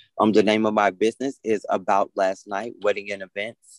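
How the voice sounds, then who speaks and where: A man with an American accent speaks at a moderate pace, the sound dry and close with no echo. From Atlanta, Georgia, US South. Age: 30s. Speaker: minister. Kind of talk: interview.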